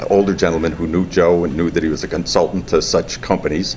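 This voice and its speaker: A man with a very deep, low voice speaks very fast in a strong New England accent, his intonation fairly even. Noticeable background noise runs underneath. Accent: heavy Yankee. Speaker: company co-founder. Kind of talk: interview.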